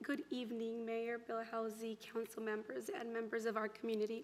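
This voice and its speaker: The delivery comes at a fairly quick pace over noticeable background noise. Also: woman. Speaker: nutrition organization representative. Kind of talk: prepared acceptance speech.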